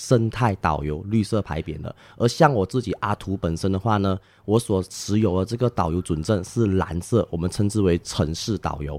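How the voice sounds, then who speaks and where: In a plain, everyday voice, a man talks at a moderate pace in a fairly low pitch with ordinary pitch variation, the sound dry and close with no echo on a very clean recording with a silent background. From Malaysia, Penang. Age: 20s. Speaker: tour guide. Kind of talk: casual interview. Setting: on location in Langkawi, Malaysia.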